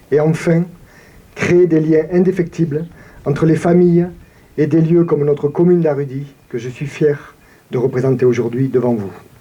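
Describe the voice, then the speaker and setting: With a southern French accent, a man speaks at a fairly high pitch and ordinary pitch variation, leaving long, frequent pauses. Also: moderate pace. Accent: regional southern French. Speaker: town mayor. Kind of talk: commemorative speech. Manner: formal.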